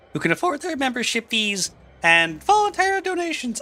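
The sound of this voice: This put-on character voice is high-pitched and fairly quick, with very wide swings in pitch.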